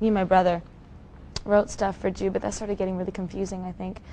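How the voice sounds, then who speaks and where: Soft-spoken and with a Canadian accent, the woman has a dark, mellow tone at a medium pitch. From Maple Ridge, British Columbia, Canada. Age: young. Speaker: actress and singer. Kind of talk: interview answer.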